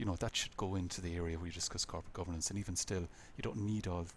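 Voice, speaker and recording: A man with an Irish accent, very deep and low in pitch, somewhat breathy, at a very fast pace. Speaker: lecturer. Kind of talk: lecture feedback on student projects.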